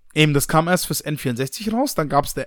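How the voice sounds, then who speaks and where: With lively intonation and a fairly high pitch, a man uses an ordinary speaking voice in a very clean recording with a silent background. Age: 20s. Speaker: new podcast co-host. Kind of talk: casual chat.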